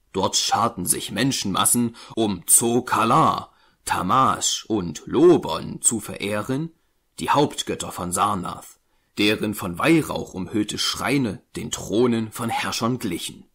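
In a very clean recording with a silent background, a man with a medium-pitched voice speaks very slowly in a solemn tone that is also bright and sharp, his intonation lively. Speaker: audiobook narrator. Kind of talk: scripted narration, dramatic reading aloud of a horror tale. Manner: solemn, slow, ominous, building dread with an archaic storytelling cadence; formal, measured, grave.

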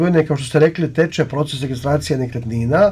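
The pitch of this man's speech varies in an ordinary way. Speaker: guest. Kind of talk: interview answer. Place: studio. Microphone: lapel.

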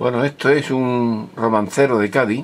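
A man with an unremarkable speaking voice and ordinary pitch variation talks fairly slowly. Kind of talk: casual introduction of a clip.

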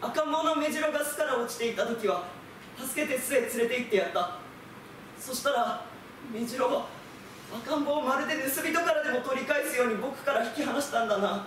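A man with an extremely high voice speaks at a moderate pace with ordinary pitch variation, with audible room echo and light background noise. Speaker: theatre company actor; theatre actor doing a reading. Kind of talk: literary reading, storytelling narration. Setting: group reading recital. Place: stage. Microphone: camera far.

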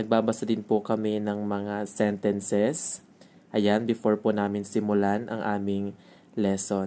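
A man talks at a fairly slow pace in a dark, mellow tone with a monotone, flat intonation. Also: fairly low pitch for a man. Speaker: elementary school teacher. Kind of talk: vlog narration. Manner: polite, casual with fillers.

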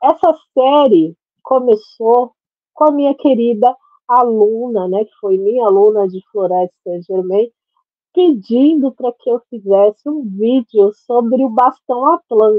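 Against a quiet background, the words unfold very slowly. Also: woman, fairly high pitch for a woman, dry sound with no echo. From Brazil, Santos (São Paulo state); São Paulo state, Brazil. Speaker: holistic therapist and radiesthesia teacher; natural therapist teacher. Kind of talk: tutorial. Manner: casual, filler-heavy speech. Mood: warm, friendly. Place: home room. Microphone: webcam.

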